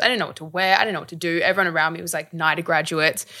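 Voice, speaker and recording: The voice has a bright, sharp tone and a monotone, flat intonation. It carries an Australian accent. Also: woman. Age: 20s. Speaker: actor and activist. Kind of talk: interview.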